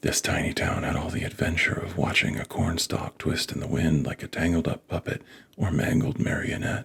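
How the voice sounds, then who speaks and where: A soft-spoken man with a very deep, low pitch, a calm tone, ordinary pitch variation and a moderate pace, over noticeable background noise. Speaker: author. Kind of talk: ASMR book reading. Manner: calm, soft-spoken.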